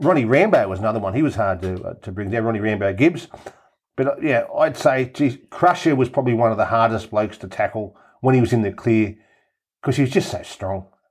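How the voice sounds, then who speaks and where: In a very clean recording with a silent background, a man with an Australian accent talks at a very fast pace. His medium pitch rides on lively intonation. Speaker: rugby league pundit. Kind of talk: casual chat.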